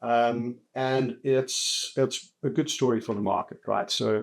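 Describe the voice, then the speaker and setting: A man with a South African accent, fairly even intonation and a very clean recording with a silent background. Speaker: telecoms company executive. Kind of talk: podcast interview. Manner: hesitant, many fillers and repeats.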